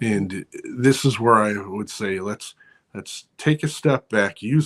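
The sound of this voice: With lively intonation, a man speaks at a fairly low pitch.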